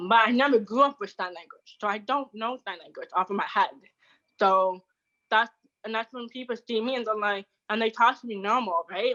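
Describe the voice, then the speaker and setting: This woman's bright, sharp tone comes with big swings in loudness. She talks at a fairly quick pace with fairly even intonation. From Canada, Toronto. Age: 20s. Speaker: deaf content creator. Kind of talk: interview. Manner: fast; halting.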